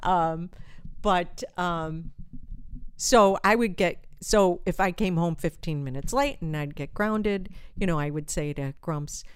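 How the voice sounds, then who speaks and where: A woman speaks with fairly low pitch and lively intonation. Her pace is fairly slow, and the recording is very clean with a silent background. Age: 50s. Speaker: realtor. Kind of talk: casual chat. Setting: home studio.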